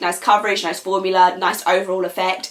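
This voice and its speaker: Noticeable background noise sits behind a woman with a British accent who speaks in an animated tone at a moderate pace. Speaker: nail polish vlogger. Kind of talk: casual product review. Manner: chatty, animated.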